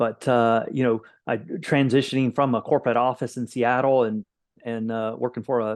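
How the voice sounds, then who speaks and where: Speaking with a Florida Panhandle accent, a man talks at a fairly quick pace in a monotone, flat intonation. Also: quiet background. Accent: Floridian Panhandle. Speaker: executive protection company owner. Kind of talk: interview.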